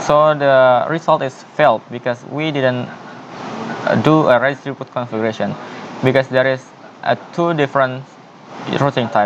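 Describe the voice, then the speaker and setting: With noticeable background noise around him, a man talks in a medium pitch, his intonation fairly even. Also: moderate pace. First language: not English. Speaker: networking tutorial presenter. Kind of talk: tutorial. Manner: halting.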